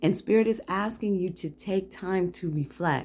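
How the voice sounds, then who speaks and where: This woman's voice sits fairly low and has a dark, mellow tone. She speaks quietly, with lively intonation. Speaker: tarot reader. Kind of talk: tarot card reading. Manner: lowered, quiet voice.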